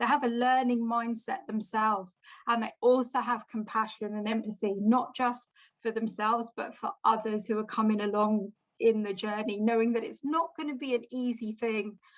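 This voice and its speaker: A woman speaks at a moderate pace in a fairly high voice, her intonation fairly even. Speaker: lightning talk speaker. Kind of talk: presentation; casual chat. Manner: confident.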